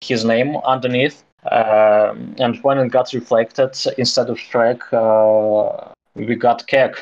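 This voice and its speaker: A man's very slow speech in a Russian accent. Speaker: crypto project co-founder. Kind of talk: casual interview. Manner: halting.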